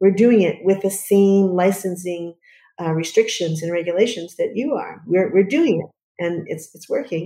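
In an American accent, a woman speaks at a moderate pace with ordinary pitch variation. Her tone is dark and mellow. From US Northeast. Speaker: early childhood educator and preschool founder. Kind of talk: casual interview.

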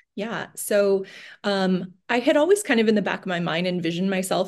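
Against a quiet background, a woman with a Californian accent speaks at a moderate pace with fairly even intonation. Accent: Californian American. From US West Coast, San Francisco Bay Area. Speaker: financial coach. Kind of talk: casual interview chat.

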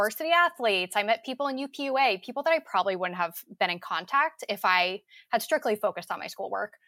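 A woman at a very fast pace, bright and sharp in tone, lively in intonation, in a dry, close recording with no echo and a very clean, silent background. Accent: American. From New Jersey. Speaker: university alumna. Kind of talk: casual panel interview.

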